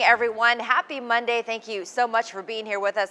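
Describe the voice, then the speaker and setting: Very fast speech in an American accent. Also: woman. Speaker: TV news anchor. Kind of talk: morning TV news anchor read. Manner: upbeat, energetic.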